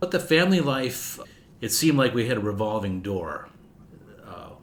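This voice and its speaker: A man speaks at a moderate pace in a medium pitch, with big swings in loudness, very wide pitch swings, and audible room echo. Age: 70s. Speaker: family historian guest. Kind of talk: interview storytelling.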